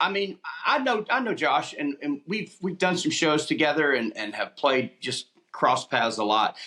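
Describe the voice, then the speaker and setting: At a moderate pace, the speaker uses an Alabama accent with very wide pitch swings. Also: man, high pitch for a man. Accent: Southern US (Alabama). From Opelika, Alabama. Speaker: country musician. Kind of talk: interview answer. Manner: casual, relaxed.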